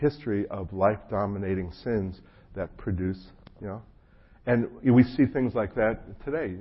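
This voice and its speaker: A man speaks with an American accent in a somewhat breathy voice. His pitch is fairly low, with ordinary variation. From New Jersey. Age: 50s. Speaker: pastor. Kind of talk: sermon. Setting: church gathering with audience.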